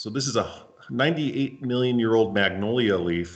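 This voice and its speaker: With an American accent, a man talks using ordinary pitch variation. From Nevada, USA. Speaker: paleontologist. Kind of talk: scientific presentation. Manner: casual, anecdotal.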